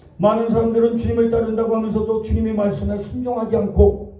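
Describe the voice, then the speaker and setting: A man speaks with a high pitch. The audio carries audible room echo and noticeable background noise. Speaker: pastor. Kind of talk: sermon.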